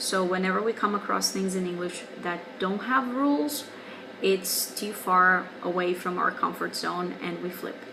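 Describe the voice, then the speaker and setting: In a Portuguese accent, a woman speaks at a moderate pace with a medium pitch and ordinary pitch variation. Audible room echo and noticeable background noise are present. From Brazil. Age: 20s. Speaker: English teacher. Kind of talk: video response monologue.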